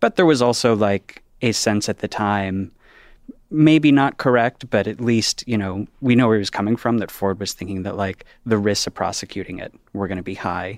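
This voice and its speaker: The recording is dry and close with no echo, carrying an unremarkable speaking voice from a man with a fairly low pitch, ordinary pitch variation, and a moderate pace. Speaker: journalist and contributor. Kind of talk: discussion.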